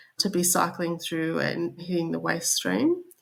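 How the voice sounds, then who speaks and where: The speaker is a woman with an Australian accent. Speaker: corporate sustainability director. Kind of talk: podcast interview.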